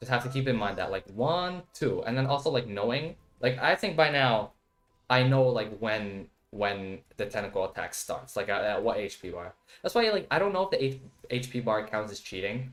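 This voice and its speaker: Music plays in the background. The speaker's intonation is lively. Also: man, medium pitch for a man. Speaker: gaming streamer. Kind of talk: live game stream chat. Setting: live stream. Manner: fast; filler-heavy, repetitive.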